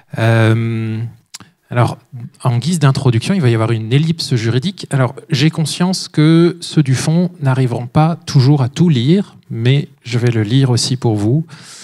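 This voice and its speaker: Over a quiet background, a man speaks at a fairly slow pace in a dark, mellow tone. His loudness stays very even, with ordinary pitch variation. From France. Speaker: author and speaker; speaker. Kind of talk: lecture; Q&A answers. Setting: stage with audience. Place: hall. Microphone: handheld.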